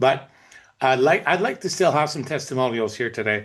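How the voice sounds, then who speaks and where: A man at medium pitch with ordinary pitch variation, a fairly quick pace and a quiet background. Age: 60s. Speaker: network marketing presenter. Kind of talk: sales presentation with personal testimony. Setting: video call.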